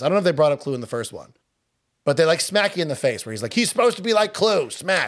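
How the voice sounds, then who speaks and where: On a very clean recording with a silent background, a man with a Long Island accent speaks with very wide pitch swings. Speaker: podcast co-host. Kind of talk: casual chat.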